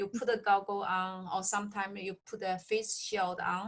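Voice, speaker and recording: The speaker has a non-native accent. The tone is bright and sharp. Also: woman. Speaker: nurse practitioner in long-term care. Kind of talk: interview. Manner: halting.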